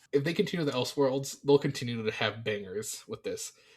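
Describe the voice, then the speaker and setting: This man's voice sits at a medium pitch and sounds somewhat breathy. He keeps up a fairly quick pace. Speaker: podcast co-host. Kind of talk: casual chat. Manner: animated; fast.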